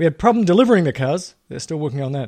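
A man's voice comes through on a very clean recording with a silent background. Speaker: podcast host. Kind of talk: angry rant, indignant and sarcastic, aimed at Tesla service delays; solo daily podcast monologue. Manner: exasperated, emphatic, repeating phrases for emphasis; casual, conversational, chatty.

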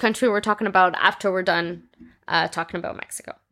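Very fast, a woman talks with a bright, sharp tone. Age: 20s. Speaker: true crime podcast host. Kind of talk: reading aloud; casual chat.

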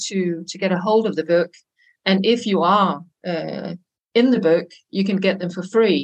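Spoken with a Danish accent, the voice keeps a moderate pace and fairly even intonation. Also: woman. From Denmark. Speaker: consultant and language teacher. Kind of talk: casual interview.

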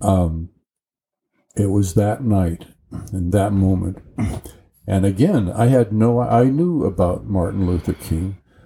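A man with an American accent speaks very slowly, with long, frequent pauses. His tone is dark, mellow and somewhat breathy. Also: fairly low pitch for a man, ordinary pitch variation. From rural Colorado, US. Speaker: retired college tutor. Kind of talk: interview.

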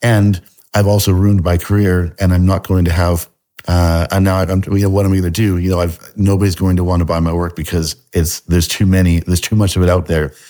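A man with a very deep, low pitch, a dark, mellow tone, very even loudness, a fairly quick pace and monotone, flat intonation. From Canada. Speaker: artist. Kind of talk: casual interview. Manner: halting, hesitant with filler words.

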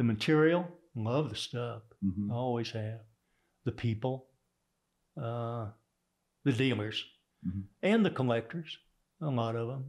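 With a Texas accent, a man talks at medium pitch and a moderate pace, using ordinary pitch variation and long, frequent pauses. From Texas (Houston), born in Oklahoma. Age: 70s. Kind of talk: interview.

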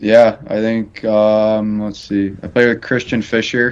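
A man speaks with an American accent at a fairly low pitch. His pace is fairly slow and his intonation flat and monotone. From Chicago. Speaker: college hockey goalie. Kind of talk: interview.

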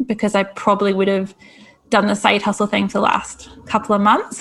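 In a Scottish accent, a woman speaks at a fairly high pitch. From Scotland. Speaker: career coach. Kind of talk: interview.

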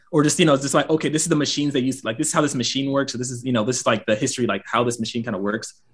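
A man with an American accent speaks at a very fast pace with hardly any pauses. His medium-pitched voice is somewhat breathy and has ordinary pitch variation. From US South, Gwinnett County near Atlanta, Georgia. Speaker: aerospace engineer and fashion content creator. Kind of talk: casual interview chat.

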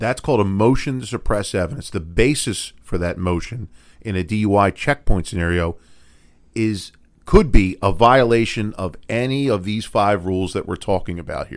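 On a very clean recording with a silent background, a man with an American accent talks at a moderate pace in a plain, everyday voice with ordinary pitch variation. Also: fairly low pitch for a man. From Philadelphia. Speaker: defense attorney, podcast co-host. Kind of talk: legal explainer podcast chat.

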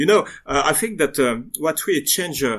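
On a very clean recording with a silent background, a man speaks with lively intonation in a French accent. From western France. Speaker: diorama modeler. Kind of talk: interview. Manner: halting.

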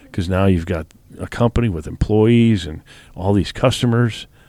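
A man speaks in a normal speaking voice, fairly low in pitch, with ordinary pitch variation. The recording is very clean, the background silent. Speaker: podcast host interviewer. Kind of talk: interview conversation.

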